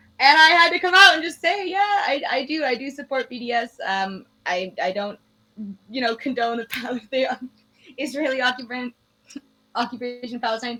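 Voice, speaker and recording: A raised, projected voice in a Canadian accent, at a moderate pace with lively intonation. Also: woman, high pitch for a woman. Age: young. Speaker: former political candidate. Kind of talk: interview.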